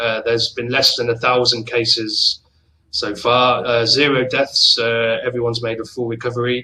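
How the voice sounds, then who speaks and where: At a moderate pace, a man of medium pitch speaks with a southern English accent. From England, Oxford. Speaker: travel company manager. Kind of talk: casual chat. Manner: hesitant with many fillers.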